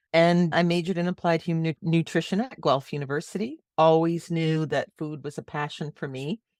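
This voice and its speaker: A woman with a normal speaking voice, a normal speaking voice, talks at a fairly quick pace with hardly any pauses, fairly low pitch and fairly even intonation, in a dry, close sound with no echo. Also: very clean recording, silent background. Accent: Canadian. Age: 60s. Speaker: marketing consultant. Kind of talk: podcast interview.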